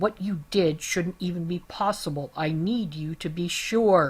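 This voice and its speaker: The delivery moves at a moderate pace. It is a put-on character voice pitched in the middle range. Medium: read story.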